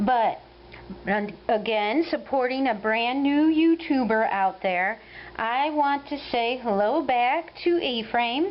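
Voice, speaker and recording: With an Ohio accent, a woman talks at a very slow pace in a high pitch, her intonation lively and her loudness very even. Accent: Ohio Midwestern. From US Midwest, Ohio. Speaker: crochet vlogger. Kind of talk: casual video update.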